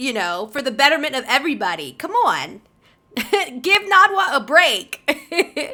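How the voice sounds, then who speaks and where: Raised and projected, a woman's high voice moves at a fairly slow pace in an upbeat, playful tone, with very wide pitch swings and big swings in loudness. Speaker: voice actor. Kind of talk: casual talk to camera while playing a game.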